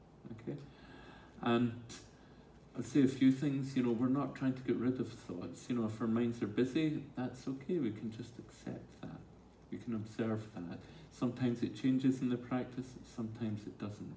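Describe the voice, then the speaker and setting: A man with a dark, mellow tone speaks at a moderate pace and medium pitch, somewhat breathy, with fairly even intonation. Long, frequent pauses break up his speech, and room echo is audible. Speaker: mindfulness teacher. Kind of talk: talk with audience Q&A. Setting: stage with audience.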